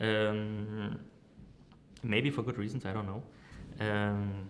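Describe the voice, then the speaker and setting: Against noticeable background noise, a man speaks in a fairly low pitch. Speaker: marketing director and agency founder. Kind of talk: interview. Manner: hesitant, many fillers.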